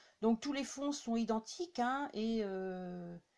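Vocal fry and a slightly mellow tone, with lively intonation at a fairly slow pace. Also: woman, fairly high pitch for a woman.

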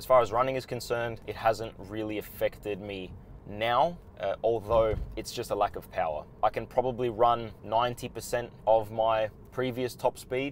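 Over light background noise, a man talks at a moderate pace with fairly even intonation in a dry sound with no echo. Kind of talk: casual vlog chat. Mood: calm, informative. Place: car. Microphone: lapel.

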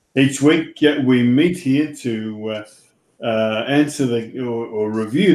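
A man speaking at a very slow pace with ordinary pitch variation, in a room with audible echo. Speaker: show host. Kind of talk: host introduction. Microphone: video call.

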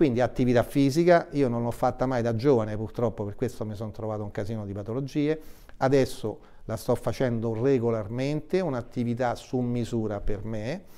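A man's voice has a dark, mellow tone and medium pitch. He moves at a fairly quick pace with ordinary pitch variation. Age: 70s. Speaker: health association president; guest. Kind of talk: TV interview. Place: studio. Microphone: lapel.

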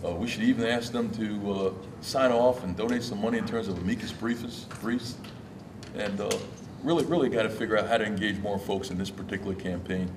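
Noticeable background noise sits behind a man's voice. He speaks at a fairly quick pace with a fairly low pitch. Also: ordinary pitch variation. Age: old. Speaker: union leader, audience member; audience member. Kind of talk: audience question. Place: hall.

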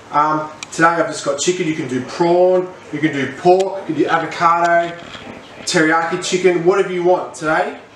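A man talks at a high pitch and a moderate pace, his intonation fairly even. There is light background noise and audible room echo. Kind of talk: tutorial. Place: kitchen.

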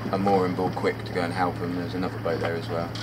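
A man speaks over loud background noise. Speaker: sailing vlogger. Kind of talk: casual vlog chat, storytelling. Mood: wry, mildly annoyed retelling. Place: boat. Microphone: camera far.

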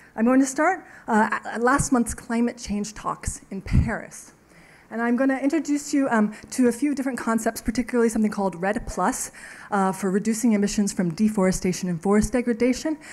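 A woman is speaking. She moves at a fairly quick pace with ordinary pitch variation. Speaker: invited lecturer. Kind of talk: lecture. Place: hall.

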